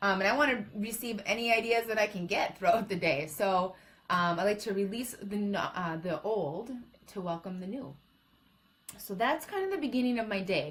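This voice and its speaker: A woman speaks at a fairly quick pace and a medium pitch. Her voice is somewhat breathy, with ordinary pitch variation. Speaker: motivational speaker. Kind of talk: live-stream talk. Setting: live stream.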